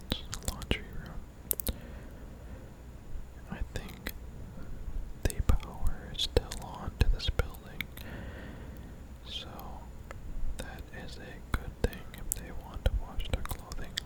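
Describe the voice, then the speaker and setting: Someone whispers in an intense tone at a very slow pace, with long, frequent pauses. Noticeable background noise is present. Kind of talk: ASMR gameplay commentary. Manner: close whispering, slightly intense.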